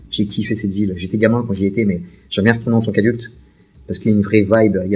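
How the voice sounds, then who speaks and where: Speaking at a very fast pace, a man uses a fairly low pitch and a dark, mellow tone. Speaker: YouTuber, film and series fan. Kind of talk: casual Q&A monologue. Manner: very fast speech; energetic, voluble.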